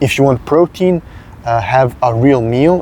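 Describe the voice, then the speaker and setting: A man speaks at a moderate pace with a Serbian accent, and there is noticeable background noise. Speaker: fitness content creator. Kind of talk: casual talking-head advice video. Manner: hesitant, frequent filler 'uh'.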